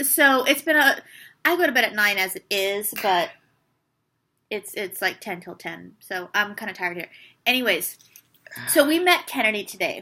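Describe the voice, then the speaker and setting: Bright and sharp in tone, a woman speaks at a moderate pace and a fairly high pitch, with very wide pitch swings, big swings in loudness, and long, frequent pauses. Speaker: book reviewer. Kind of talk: casual chat.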